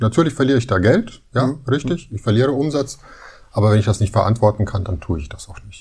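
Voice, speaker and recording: Very fast, somewhat breathy delivery with lively intonation and a dark, mellow tone. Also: man. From Munich, Bavaria. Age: 50s. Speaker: dentist. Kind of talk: interview, casual chat.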